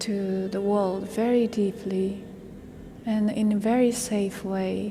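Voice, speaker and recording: In a room with audible echo, a woman with a Japanese accent speaks very slowly in a monotone, flat intonation, her medium-pitched voice somewhat breathy with a dark, mellow tone. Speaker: vocal musician. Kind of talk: interview. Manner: halting, many fillers.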